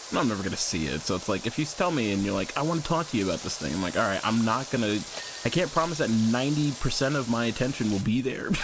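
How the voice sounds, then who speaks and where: A loud man at a medium pitch, very fast pace and very wide pitch swings, over noticeable background noise. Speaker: streamer. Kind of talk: casual chat. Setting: live stream. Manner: contained.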